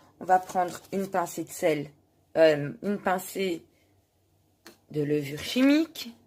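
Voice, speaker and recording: Speaking at a very slow pace with long, frequent pauses, a woman uses lively intonation at a medium pitch. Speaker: cooking video host. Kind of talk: cooking tutorial. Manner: halting, stumbles over words.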